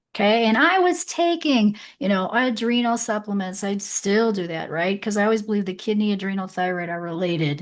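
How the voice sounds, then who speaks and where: Against a quiet background, a woman speaks fairly quickly at a medium pitch with lively intonation. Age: 60s. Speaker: podcast host and health practitioner. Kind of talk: interview.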